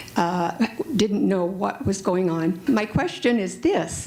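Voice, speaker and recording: A woman talks with noticeable background noise in the recording. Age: 70s. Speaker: patient asking a question. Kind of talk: audience question at panel.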